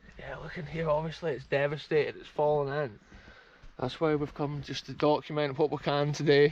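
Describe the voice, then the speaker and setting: Speaking at a fairly quick pace with a Scottish accent, a man with a fairly high pitch makes big swings in loudness. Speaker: urban explorer vlogger. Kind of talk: exploration vlog narration. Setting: outdoors. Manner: animated.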